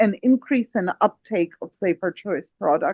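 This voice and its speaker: A woman at a medium pitch with a non-native accent. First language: not English. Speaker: project lead, panelist. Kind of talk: panel discussion. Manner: hesitant, many fillers.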